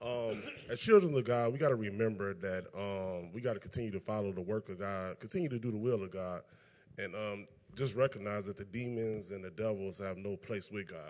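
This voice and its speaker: The voice is an unremarkable speaking voice, moving at a fairly quick pace with ordinary pitch variation. It comes on a very clean recording with a silent background. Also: man, fairly low pitch for a man. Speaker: scripture and text reader. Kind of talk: reading aloud.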